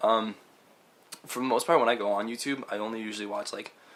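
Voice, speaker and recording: With an American accent, a man rattles along at a very fast pace over noticeable background noise. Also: long, frequent pauses, big swings in loudness. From Staten Island, New York. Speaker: podcast co-host. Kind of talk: casual chat.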